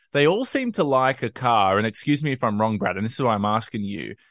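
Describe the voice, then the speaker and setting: With an Australian accent, a man of medium pitch speaks at a fairly quick pace. The sound is dry and close with no echo, over a quiet background. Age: young. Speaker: sports reporter and commentator. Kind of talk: casual chat.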